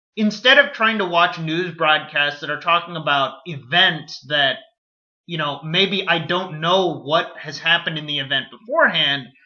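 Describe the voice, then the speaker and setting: A man with an American accent, high pitch, ordinary pitch variation and a moderate pace. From United States, Indian-American family. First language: Kannada. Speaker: video blogger. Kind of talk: casual monologue to camera.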